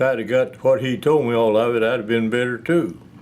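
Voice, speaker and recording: A medium-pitched man with a West Tennessee accent at a moderate pace, ordinary pitch variation and audible room echo. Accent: US Southern (West Tennessee). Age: 90s. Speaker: retired piano tuner and music seller. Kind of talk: interview. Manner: halting.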